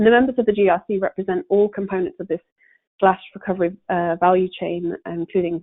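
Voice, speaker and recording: Talking very fast, a woman with a British accent keeps a medium pitch and fairly even intonation. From UK. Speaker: corporate sustainability panelist. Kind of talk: webinar presentation. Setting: conference call. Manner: hesitant with many fillers.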